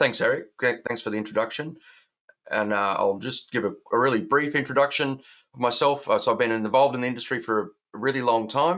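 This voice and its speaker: With an Australian accent, the speaker moves at a fairly quick pace with ordinary pitch variation. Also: man, medium pitch for a man. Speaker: software architect and founder. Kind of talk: webinar presentation. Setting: online webinar.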